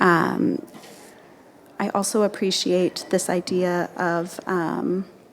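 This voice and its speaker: A soft-spoken woman, fairly low-pitched, with vocal fry. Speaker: panel moderator. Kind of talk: panel discussion. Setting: conference panel. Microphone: far from the mic.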